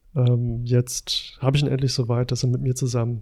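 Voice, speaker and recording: Somewhat breathy and medium in pitch, a man talks at a moderate pace in a dark, mellow tone. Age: 40s. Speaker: paramedic and podcast host. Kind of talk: casual chat.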